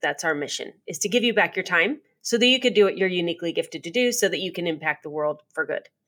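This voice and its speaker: Speaking at a fairly quick pace, a woman has a plain, everyday voice. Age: 50s. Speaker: professional organizer and company founder. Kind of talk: interview.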